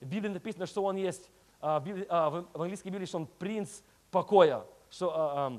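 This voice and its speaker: A man speaks at a fairly slow pace in an English accent, his pitch high for a man and his intonation fairly even. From Moldova, raised in the US from age 6. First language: English (speaking Russian). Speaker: guest preacher. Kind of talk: sermon. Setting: church. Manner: halting, searching for Russian words.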